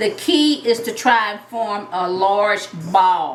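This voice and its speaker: Speaking at a very slow pace with lively intonation, a woman with a Southern US accent is heard over noticeable background noise and audible room echo. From US South. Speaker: retired teacher and home cook. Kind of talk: cooking tutorial. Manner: relaxed, conversational.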